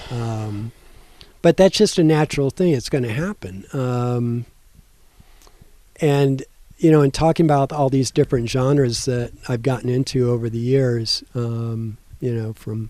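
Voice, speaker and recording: The voice has a dark, mellow tone and ordinary pitch variation, moving at a fairly slow pace with long, frequent pauses. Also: man, medium pitch for a man. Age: 60s. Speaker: community radio host, music enthusiast. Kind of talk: casual chat. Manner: halting, many fillers and restarts.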